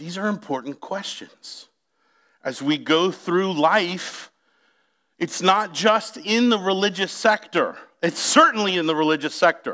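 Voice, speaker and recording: A man's raised, projected voice, high-pitched, bright and sharp, with an animated tone and a fairly slow pace, on a very clean recording with a silent background. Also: ordinary pitch variation. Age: 40s. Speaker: pastor. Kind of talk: sermon.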